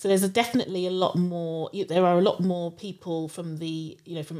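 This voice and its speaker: A woman in a London accent speaks at a fairly low pitch and a fairly quick pace, her dark, mellow tone carrying fairly even intonation. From London (Harrow). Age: 50s. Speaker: education marketing director. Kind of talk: interview. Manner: halting, many fillers.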